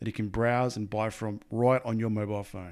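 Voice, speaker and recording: This man has an Australian accent and a medium pitch. The recording is very clean, with a silent background. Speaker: podcast host. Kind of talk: interview.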